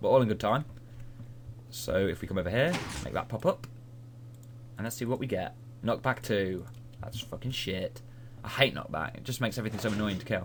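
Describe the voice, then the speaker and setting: A man's vocal fry at medium pitch with a British accent, ordinary pitch variation, a fairly quick pace and long, frequent pauses. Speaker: gaming video creator. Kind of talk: gameplay commentary. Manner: fast.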